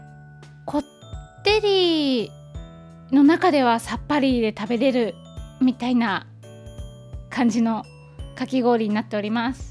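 A woman speaks at a very slow pace in a high pitch, with long, frequent pauses and big swings in loudness. Faint music plays in the background. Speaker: food vlogger. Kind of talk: casual vlog chat. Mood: cheerful, relaxed. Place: cafe. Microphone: phone near.

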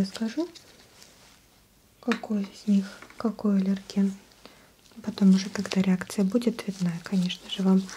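A soft-spoken woman talks at a moderate pace with monotone, flat intonation and long, frequent pauses over light background noise. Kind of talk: soft-spoken role-play address to viewer. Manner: soft, quiet ASMR doctor voice.

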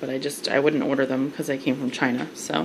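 A woman talks at a fairly quick pace while noticeable background noise plays behind her. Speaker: haul vlogger. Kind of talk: casual product review chat. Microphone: phone near.

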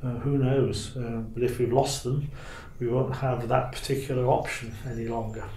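Over noticeable background noise, a man talks at a moderate pace in a monotone, flat intonation. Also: medium pitch for a man. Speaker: naturalist. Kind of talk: oral history recollection.

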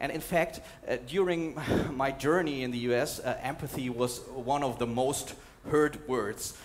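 This man's voice sits at a fairly high pitch, moving at a fairly slow pace with ordinary pitch variation. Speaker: documentary journalist and conference speaker. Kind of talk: conference talk with slides and video clips. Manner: hesitant, fillers, repeats words. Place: hall. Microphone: headset.

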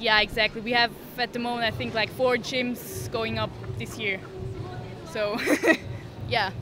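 A woman talks at a moderate pace with long, frequent pauses. The sound is dry with no echo, and clear music plays in the background. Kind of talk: interview answer. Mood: friendly, relaxed, smiling. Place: hall. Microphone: handheld.

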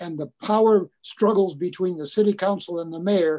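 A man with a high voice and a dark, mellow tone speaks at a moderate pace with ordinary pitch variation against a quiet background. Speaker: interview guest. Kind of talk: spoken introduction in an online meeting. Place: home room. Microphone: video call.

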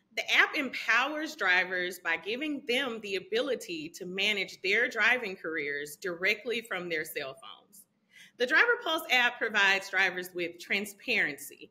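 A woman's bright, sharp voice comes through. It moves in very wide pitch swings. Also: moderate pace. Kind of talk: scripted sponsor segment. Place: home room. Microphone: phone near.

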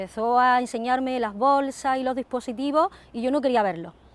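The sound is dry with no echo as a woman speaks in a high pitch. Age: 40s. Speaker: ostomy patient. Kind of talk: testimony. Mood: earnest, emotional recollection. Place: open country. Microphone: lapel.

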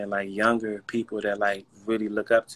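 A man with an American accent speaks at a medium pitch in a bright, sharp tone. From Washington DC. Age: 30s. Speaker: vitiligo model and advocate. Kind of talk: casual interview. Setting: video livestream. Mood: relaxed, reflective. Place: home room. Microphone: video call.

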